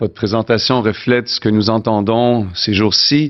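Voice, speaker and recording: A man's fairly low voice with a Canadian French accent. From Canada. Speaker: forum chief executive, conference host. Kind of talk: welcoming speech.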